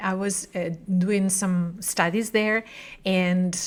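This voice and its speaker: The speaker is a woman. She talks in a Spanish accent. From Spain. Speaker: book show host. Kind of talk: interview. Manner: halting.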